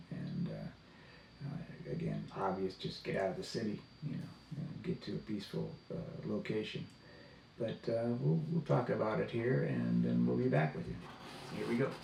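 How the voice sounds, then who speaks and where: With music behind him, the man keeps a moderate tempo. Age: 70s. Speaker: outdoors camping vlogger. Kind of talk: casual talk to camera.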